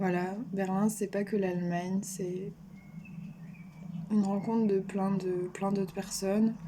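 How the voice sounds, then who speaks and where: Over noticeable background noise, a woman at medium pitch speaks very slowly in a monotone, flat way, with long, frequent pauses. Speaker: vlogger. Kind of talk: personal vlog monologue. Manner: hesitant, many fillers.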